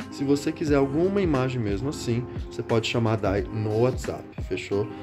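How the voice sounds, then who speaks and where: Clear background music behind a man talking at a fairly quick pace. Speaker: used manga seller. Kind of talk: casual sales vlog chat. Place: home room. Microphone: phone near.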